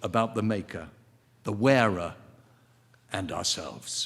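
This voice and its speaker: This man has an English accent. He speaks at a moderate pace. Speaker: ceremony host. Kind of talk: award presentation. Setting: stage with audience.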